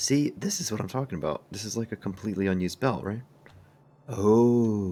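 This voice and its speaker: The voice is soft-spoken, with a dark, mellow tone. Its intonation is lively. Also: man, fairly low pitch for a man, moderate pace. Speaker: gaming video creator. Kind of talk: gameplay commentary.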